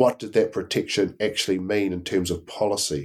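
This is a man speaking. He has a New Zealand accent. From New Zealand, Blenheim. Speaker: Māori history lecturer and author. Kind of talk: interview. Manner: halting, many fillers.

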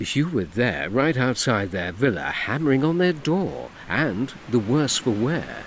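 What we hear is a natural reading voice.

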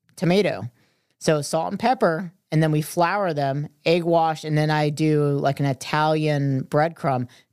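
This woman has a very deep, low pitch and an American accent. Her pitch varies an ordinary amount. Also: very clean recording, silent background. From Florida, Merritt Island. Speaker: restaurant owner and chef. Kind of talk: casual interview chat. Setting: studio.

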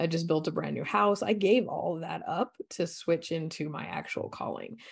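A woman talks at a moderate pace in an unremarkable speaking voice, fairly low in pitch with ordinary pitch variation. The background is quiet. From Colorado, US. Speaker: coach and energy healer. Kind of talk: interview.

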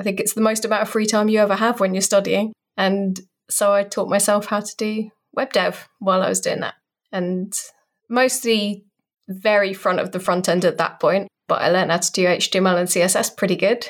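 A woman with a British accent and a monotone, flat intonation. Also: medium pitch for a woman, moderate pace. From Britain. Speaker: designer and developer advocate. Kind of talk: interview.

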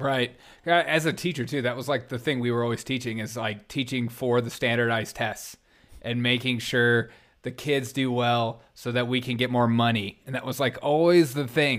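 On a very clean recording with a silent background, a man with a plain, everyday voice speaks at a moderate pace and medium pitch with fairly even intonation. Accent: American. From US South. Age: 30s. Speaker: comedian and podcast host. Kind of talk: casual chat.

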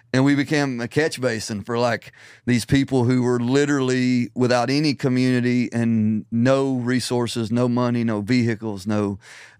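Recorded very cleanly against a silent background, a man with a Southern US accent speaks at a medium pitch and a moderate pace, flat and monotone, with hardly any pauses. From Middle Tennessee. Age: 40s. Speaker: ministry founder. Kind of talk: casual interview. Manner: halting.

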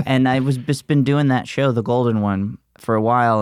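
Heard in a very clean recording against a silent background, a man with an American accent has an unremarkable speaking voice, a moderate pace and ordinary pitch variation. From US South, Alabama Gulf Coast. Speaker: comedian. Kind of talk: casual interview.

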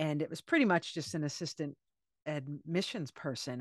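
A woman's normal speaking voice, fairly low in pitch, at a moderate pace, with an American accent and a dry, close sound with no echo. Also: quiet background. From US Northeast (Cape Cod, Massachusetts). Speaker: author. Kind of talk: interview conversation.

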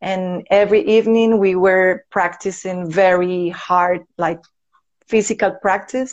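A woman with a Venezuelan accent speaks at a medium pitch, slowly, with fairly even intonation. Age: 30s. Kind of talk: casual interview. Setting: live video call. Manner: nervous, halting.

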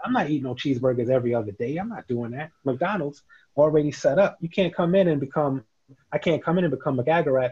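A man with a New York accent talks at a very fast pace. His fairly high voice is somewhat breathy, with ordinary pitch variation. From New York, Queens. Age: 50s. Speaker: CBD business founder and dividend investor. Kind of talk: casual interview.

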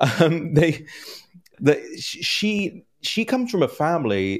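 A man with a London accent, fairly high-pitched and swinging very widely in pitch. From London, England. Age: 30s. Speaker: political news editor. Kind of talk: interview. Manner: halting with many repetitions.

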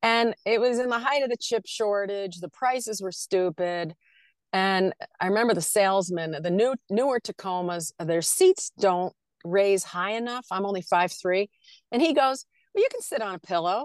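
A woman with a plain, everyday voice speaks at a moderate pace and medium pitch, with ordinary pitch variation. The sound is dry and close with no echo, over a quiet background. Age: 60s. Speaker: nomad traveler living in an SUV. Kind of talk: casual interview chat.

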